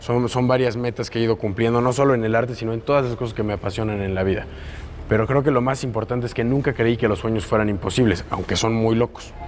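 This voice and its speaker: A very fast male voice of medium pitch with fairly even intonation, against noticeable background noise. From Mexico, Puebla. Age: 20s. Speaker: muralist. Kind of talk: interview.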